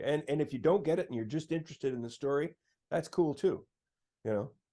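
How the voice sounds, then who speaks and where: With a Canadian accent, a man uses a fairly high pitch, a dark, mellow tone and vocal fry. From Sault Ste. Marie, Northern Ontario, Canada. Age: 60s. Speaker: singer-songwriter. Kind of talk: interview. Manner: halting.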